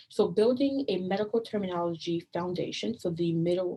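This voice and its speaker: A woman's somewhat breathy voice sits at a fairly low pitch with a dark, mellow tone. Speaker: open education coordinator presenting a training; presenter. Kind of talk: online training presentation. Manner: fast. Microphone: webcam.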